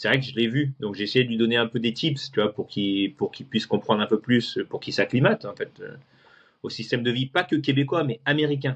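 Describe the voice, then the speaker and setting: A somewhat breathy man's voice at a medium pitch and a fairly quick pace. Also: ordinary pitch variation. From France, moved to Houston at 16. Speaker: guest telling his life story. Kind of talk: interview conversation. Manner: hesitant, many fillers and repetitions.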